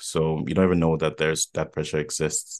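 With a quiet background and a dry, close sound with no echo, a man speaks at a moderate pace in a very deep, low pitch and a monotone, flat intonation. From Ghana (Accra). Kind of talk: casual chat.

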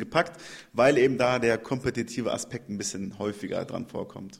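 The speaker is a man with a medium pitch. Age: 30s. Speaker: CrossFit trainer and gym owner. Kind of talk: interview. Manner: hesitant with filler sounds.

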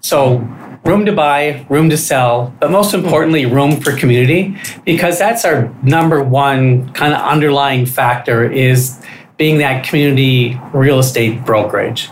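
A man with an American accent speaks fairly slowly in a fairly high, somewhat breathy voice, with very even loudness and ordinary pitch variation. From Minnesota, Stillwater. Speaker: real estate broker. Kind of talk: casual interview. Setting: studio.

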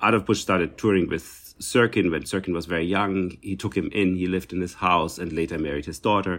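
With a German accent, a man speaks at a fairly quick pace with hardly any pauses, a very deep, low voice, and fairly even intonation. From East Germany. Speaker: cellist and festival director. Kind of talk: casual interview.

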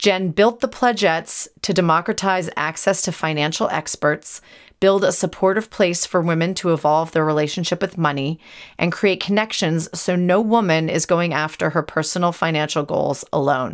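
A woman's plain, everyday voice, fairly low in pitch with ordinary pitch variation, at a moderate pace, in a very clean recording with a silent background. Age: 40s. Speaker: podcast host and entrepreneur. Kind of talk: casual interview chat; scripted intro.

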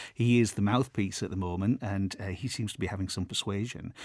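The recording is very clean and silent behind a man with a normal speaking voice, in a dry, close sound with no echo. He keeps a moderate pace with ordinary pitch variation. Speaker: podcast host. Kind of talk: interview conversation. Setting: studio.

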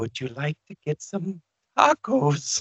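A shaky, put-on character voice from a man at a fairly slow pace. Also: fairly high pitch for a man. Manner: unnerving, creepy, cheerfully mundane.

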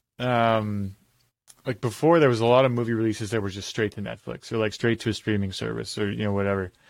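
The speaker has a plain, everyday voice. The recording is very clean, with a silent background. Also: man. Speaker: podcast host. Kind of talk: casual chat. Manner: joking.

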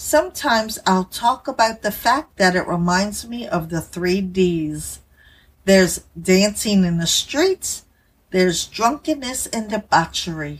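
Somewhat breathy and at a medium pitch, a woman speaks at a fairly slow pace with lively intonation in a very clean recording with a silent background. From Louisiana. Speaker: podcast host. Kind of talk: religious commentary podcast.

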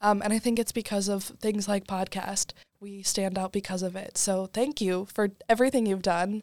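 A woman's normal speaking voice, medium in pitch, at a moderate pace in a dry, close sound with no echo. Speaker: student editor. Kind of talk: casual chat.

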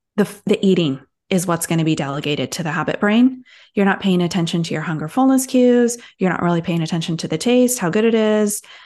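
Over a quiet background, a woman with a normal speaking voice and a medium pitch talks at a fairly quick pace with ordinary pitch variation. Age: 40s. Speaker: health coach. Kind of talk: interview.

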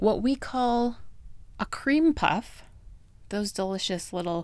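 In a very clean recording with a silent background, a woman with an American accent speaks at a very slow pace with ordinary pitch variation. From United States. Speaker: food podcast host. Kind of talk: casual solo podcast talk.

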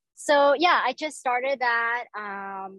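The sound is dry and close with no echo as a woman speaks with a Southern California accent. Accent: General American, Southern California. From Orange County, California. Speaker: pitmaster and restaurant owner. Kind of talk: interview. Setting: outdoors by the barbecue pits.

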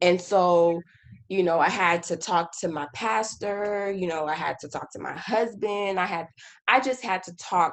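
A woman with a plain, everyday voice, an American accent and a fairly low pitch speaks at a fairly slow pace with ordinary pitch variation. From Haiti, then US from age five. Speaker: army officer. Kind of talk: casual chat.

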